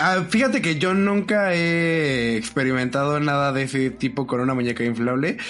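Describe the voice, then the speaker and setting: A man speaks at a moderate pace with a Mexican accent, his pitch fairly high and his intonation lively. He hardly pauses, his loudness stays very even, and background noise is noticeable. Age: 20s. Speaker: podcast host. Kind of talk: casual chat.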